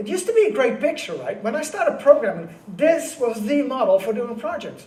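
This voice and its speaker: A man with a Dutch accent swings his pitch very widely against noticeable background noise. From Netherlands. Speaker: conference keynote speaker. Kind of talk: keynote talk. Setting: stage with audience. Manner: fast; high-speed.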